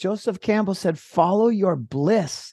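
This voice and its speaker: A man's high-pitched, dark and mellow voice with an American accent, at a fairly slow pace against a quiet background. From Minnesota. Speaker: permaculture farm founder. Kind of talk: interview.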